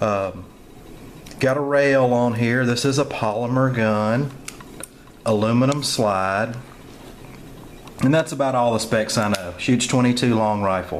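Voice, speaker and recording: A man at a fairly slow pace with very even loudness and long, frequent pauses, plus noticeable background noise and audible room echo. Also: medium pitch for a man, ordinary pitch variation. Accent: Southern US. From US South. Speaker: gun reviewer. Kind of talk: product review. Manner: casual, halting with many fillers.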